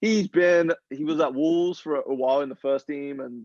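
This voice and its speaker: A man speaks with an American accent. The sound is dry and close, without echo. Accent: English accent becoming slightly American. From England. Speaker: professional footballer. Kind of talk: podcast interview.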